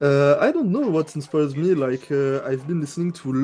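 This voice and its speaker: A man with a French accent speaks at a moderate pace in a fairly high pitch, his tone dark and mellow and his pitch varying in an ordinary way. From France. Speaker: music producer. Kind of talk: interview. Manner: halting, many fillers.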